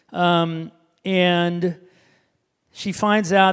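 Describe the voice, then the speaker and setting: This man talks with a Midwestern American accent and a high pitch. His intonation is monotone and flat. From Indiana, US Midwest. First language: Hebrew. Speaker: author and speaker. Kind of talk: talk to an audience.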